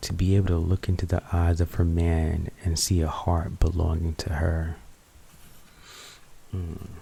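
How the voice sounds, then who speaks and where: Very deep and low in pitch, a man speaks in a monotone, flat intonation, somewhat breathy. He goes at a fairly slow pace with long, frequent pauses. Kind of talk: poetry reading to help sleep. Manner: soft, intimate, slow.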